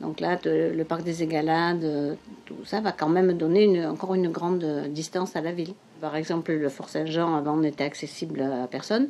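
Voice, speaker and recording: Moderately paced speech from a woman, very deep and low in pitch, with fairly even intonation. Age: 70s. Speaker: amateur photographer. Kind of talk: interview testimony. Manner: halting, many hesitations.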